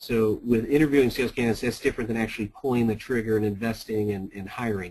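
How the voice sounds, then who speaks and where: The voice is somewhat breathy. Its pitch shows ordinary variation. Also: man. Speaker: sales consultant and company founder. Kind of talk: webinar presentation. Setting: webinar. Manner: fast.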